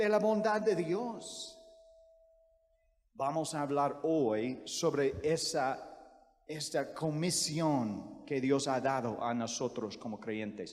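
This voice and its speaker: Speaking very slowly with lively intonation, a man with a fairly high pitch and an American accent is heard against audible room echo. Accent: American accent in Spanish, non-native. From US, Virginia. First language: English (speaking Spanish). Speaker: missionary preacher. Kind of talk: sermon. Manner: halting, frequent self-corrections.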